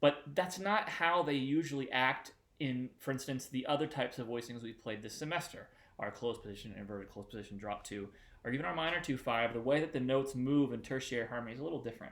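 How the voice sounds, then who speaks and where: This man talks at a very fast pace. His pitch is medium and his intonation lively. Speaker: music teacher. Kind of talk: tutorial.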